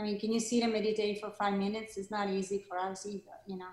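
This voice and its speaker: With an Italian accent, a woman is talking. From Italy, Milan. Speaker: yoga teacher and studio founder. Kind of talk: interview.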